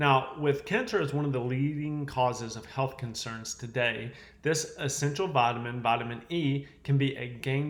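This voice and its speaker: With a Southern US accent, a man talks at a moderate pace and medium pitch with ordinary pitch variation, amid noticeable background noise and audible room echo. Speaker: chiropractor health educator. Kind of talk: health education talk to camera. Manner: casual, conversational.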